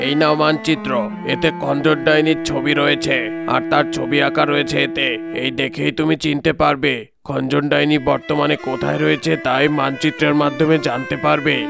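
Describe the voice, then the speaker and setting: A man's cartoonish character voice at a moderate pace, over clear background noise. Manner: authoritative, commanding.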